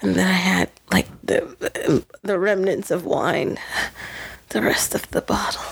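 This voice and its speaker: A woman's whispering at a very slow pace, with noticeable background noise. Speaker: podcast co-host. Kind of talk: casual chat. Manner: halting.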